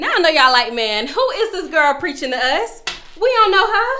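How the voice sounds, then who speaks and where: In a raised, projected voice, a woman with an extremely high pitch and very wide pitch swings speaks in an animated tone at a moderate pace, with audible room echo. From Florida, Orlando. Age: 20s. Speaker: vlogger. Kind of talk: personal testimony monologue.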